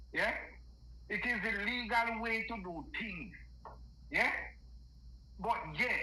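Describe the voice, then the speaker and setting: A man with a high pitch and a raised, projected voice speaks at a very slow pace with long, frequent pauses and ordinary pitch variation, amid audible room echo and noticeable background noise. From Jamaica. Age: 60s. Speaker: caller. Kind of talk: political rant. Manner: animated.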